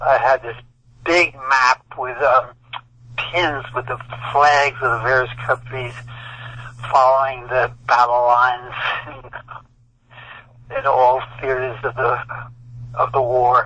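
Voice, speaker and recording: A man with an American accent at a medium pitch, monotone and flat, at a very slow pace with long, frequent pauses, amid noticeable background noise. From New York (Brooklyn). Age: 80s+. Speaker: author and war veteran. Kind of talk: interview. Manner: halting.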